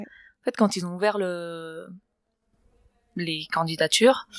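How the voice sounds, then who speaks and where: A woman speaks at a very slow pace with long, frequent pauses and big swings in loudness. Her fairly low voice has a calm tone and ordinary pitch variation. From Barcelona, Spain. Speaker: adventurer, kitesurfer. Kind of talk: interview answer. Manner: calm, poised, laughs spontaneously.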